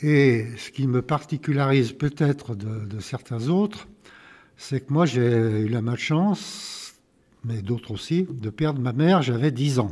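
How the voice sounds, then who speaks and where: Spoken at a very slow pace with lively intonation, the clip is a very clean recording with a silent background. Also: man, medium pitch for a man. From France, Lyon area (Vaugneray). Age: 80s+. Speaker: retired local official recounting village history. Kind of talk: interview testimony. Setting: town council chamber. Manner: halting.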